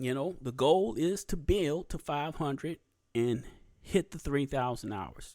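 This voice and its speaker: This is a very clean recording with a silent background. A man speaks with a Southern US accent. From US South. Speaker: YouTube podcast host. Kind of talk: casual solo podcast talk. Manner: halting, many fillers and pauses.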